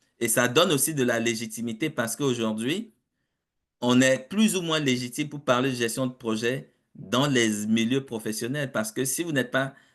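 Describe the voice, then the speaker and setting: A man at medium pitch with ordinary pitch variation, a moderate pace and a quiet background. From Africa. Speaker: project management consultant and professor. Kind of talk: webinar interview. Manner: hesitant with fillers and repetitions.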